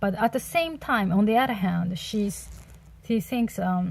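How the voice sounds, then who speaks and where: Her voice sits at a medium pitch. This woman sounds somewhat breathy. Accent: Japanese. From Japan. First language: Japanese. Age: 30s. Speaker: book reviewer. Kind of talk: casual book review monologue. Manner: halting, many fillers.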